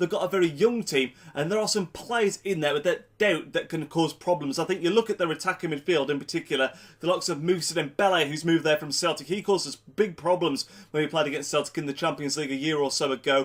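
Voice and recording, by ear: A man with a fairly high, nasal voice and a fairly bright tone talks at a fast pace with few pauses. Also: ordinary pitch variation.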